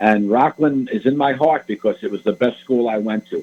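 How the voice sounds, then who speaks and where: A man with a New York accent speaks at a moderate pace with ordinary pitch variation. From New York City, the Bronx. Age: 70s. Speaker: author. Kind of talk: radio interview.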